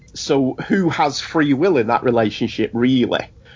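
A man at medium pitch talks fairly slowly, his pitch varying in an ordinary way. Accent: English. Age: 40s. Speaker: podcast host. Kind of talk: casual banter, TV episode discussion.

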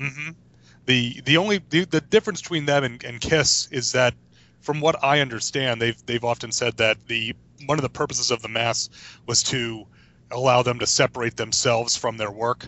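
An unremarkable speaking voice with ordinary pitch variation, at a moderate pace. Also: man, medium pitch for a man. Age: 30s. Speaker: podcast co-host. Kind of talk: casual chat.

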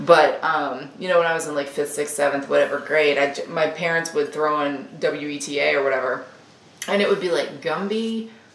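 A woman with a Southern US accent speaks in a very deep, low voice with ordinary pitch variation, over noticeable background noise. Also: moderate pace. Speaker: host's wife, co-presenter. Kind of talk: casual chat.

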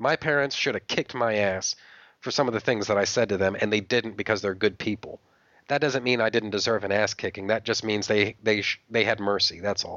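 This man's voice sits fairly low. He keeps up a fairly quick pace. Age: 30s. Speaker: podcast host. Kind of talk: casual chat. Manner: animated.

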